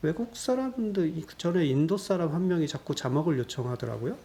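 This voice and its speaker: A man's dark, mellow, somewhat breathy voice at a moderate pace, with lively intonation. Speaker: YouTuber solving sudoku puzzles. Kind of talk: casual Q&A monologue. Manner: hesitant, many fillers.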